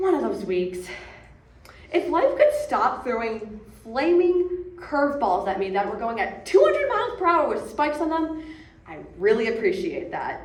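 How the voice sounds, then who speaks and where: Amid noticeable background noise and audible room echo, a woman speaks at a moderate pace in a high voice that swings very widely in pitch. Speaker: bereaved daughter. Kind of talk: eulogy.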